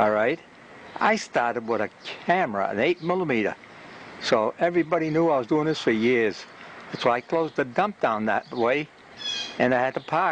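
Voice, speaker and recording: This man talks with a Boston accent at a medium pitch. His intonation is lively and his pace moderate. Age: 80s+. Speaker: community TV videographer. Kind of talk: casual monologue to camera. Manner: halting.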